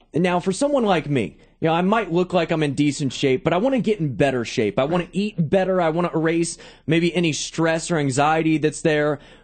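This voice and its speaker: At a fairly quick pace and very even loudness, a man with a fairly high pitch speaks in an energetic, upbeat tone with ordinary pitch variation. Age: 20s. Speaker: sports talk show host. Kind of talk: radio interview host. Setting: studio.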